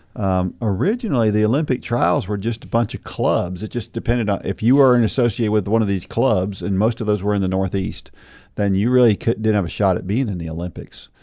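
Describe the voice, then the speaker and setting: A man's fairly low, dark, mellow voice, fairly quick with hardly any pauses and ordinary pitch variation, over a quiet background. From New Jersey and south Florida. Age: 50s. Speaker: podcast host and college running coach. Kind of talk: casual faith discussion.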